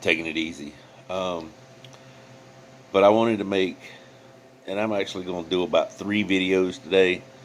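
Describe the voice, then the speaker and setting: Pausing long and often, a man talks at a moderate pace with a very deep, low pitch and fairly even intonation. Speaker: YouTube commentator. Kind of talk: reaction commentary. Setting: in bed at home. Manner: casual, hesitant with fillers.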